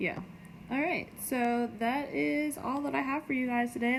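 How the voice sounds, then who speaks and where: Audible room echo surrounds a woman talking at a moderate pace with ordinary pitch variation. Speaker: middle school science teacher. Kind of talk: recorded lecture for students. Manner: casual, filler-heavy.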